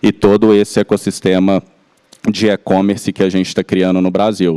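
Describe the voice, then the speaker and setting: In a Minas Gerais accent, a man speaks at a moderate pace with a fairly low pitch and a dark, mellow tone. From Minas Gerais, Belo Horizonte. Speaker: company executive. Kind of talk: panel discussion. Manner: halting.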